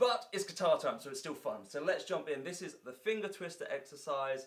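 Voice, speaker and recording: Clear background noise sits behind a man who talks with an English accent. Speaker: guitar teacher. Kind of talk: tutorial. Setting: indoor room with filming lights. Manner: fast.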